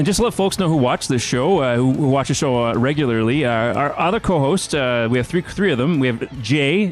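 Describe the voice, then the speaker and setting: A man's fairly high voice, lively intonation and a fairly quick pace, with music in the background. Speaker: webcast host. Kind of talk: casual interview chat.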